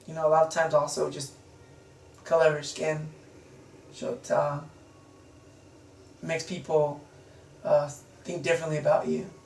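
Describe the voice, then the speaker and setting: With noticeable background noise and audible room echo, the voice moves at a moderate pace in a monotone, flat intonation, with big swings in loudness and long, frequent pauses. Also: man, fairly high pitch for a man. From United States, Mexican-American family. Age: 20s. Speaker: interviewee. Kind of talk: interview. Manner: halting, many fillers.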